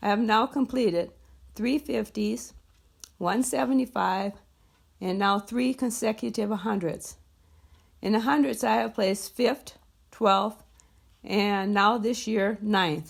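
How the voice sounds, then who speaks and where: With an American accent and vocal fry, a woman speaks at a very slow pace and medium pitch, with long, frequent pauses. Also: lively intonation. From US Midwest, northern Minnesota. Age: 60s. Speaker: endurance horse rider. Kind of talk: prepared self-introduction monologue.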